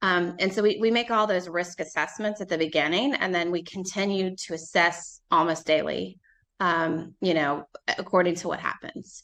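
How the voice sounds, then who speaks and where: Over a quiet background, a woman with a plain, everyday voice speaks at a moderate pace, her pitch fairly low and her intonation fairly even. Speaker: family law attorney. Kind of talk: interview. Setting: podcast.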